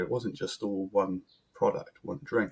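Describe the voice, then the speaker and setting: The voice has a slight English accent. Its pace is moderate. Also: man. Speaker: brewer. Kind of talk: podcast interview. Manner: hesitant, many ums.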